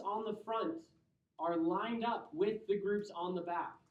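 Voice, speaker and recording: A man with an American accent at a high pitch and a fairly slow pace, in audible room echo. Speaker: chemistry professor. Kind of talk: lecture.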